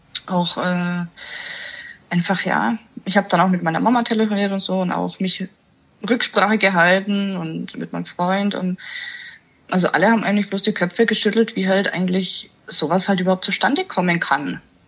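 A woman's somewhat breathy, medium-pitched voice, moderate in pace with fairly even intonation and long, frequent pauses. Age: 30s. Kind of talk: interview.

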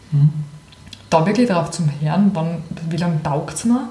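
A woman's fairly low voice comes through with audible room echo and noticeable background noise. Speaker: podcast co-host. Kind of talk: casual chat.

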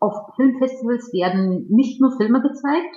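A woman with a Russian accent and lively intonation. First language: Russian (speaking German). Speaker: PR professional and media researcher. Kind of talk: interview. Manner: formal, partly reading from prepared text.

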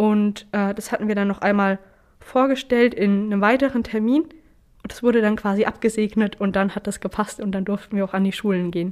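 A woman with a normal speaking voice talks at a fairly quick pace, keeping a medium pitch and fairly even intonation. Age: 20s. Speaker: trainee apprentice and training ambassador. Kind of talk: interview.

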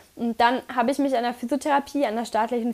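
A high-pitched woman's voice, very fast, with ordinary pitch variation. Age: 30s. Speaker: physiotherapist and climbing coach. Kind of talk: podcast interview.

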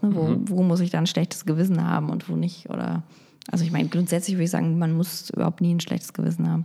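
A woman speaks. Background noise is noticeable. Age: 30s. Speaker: podcast co-host, editor and mother. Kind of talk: casual chat. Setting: recording at home.

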